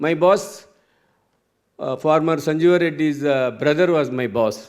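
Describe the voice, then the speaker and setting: Lively intonation from a man at a moderate pace. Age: 70s. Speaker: entrepreneur and engineer. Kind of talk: conference talk. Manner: halting.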